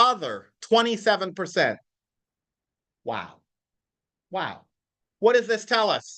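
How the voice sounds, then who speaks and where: Pitched high, a man uses a raised, projected voice with a bright, sharp tone, speaking at a very slow pace with fairly even intonation and long, frequent pauses. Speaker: real estate coach. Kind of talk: live training class. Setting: classroom with live audience. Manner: loud.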